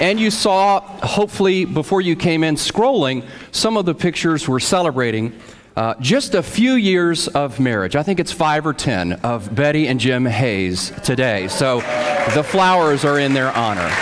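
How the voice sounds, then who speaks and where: A man speaks at a moderate pace. There is light background noise. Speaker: pastor leading worship. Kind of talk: church welcome announcements. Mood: warm, welcoming. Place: church.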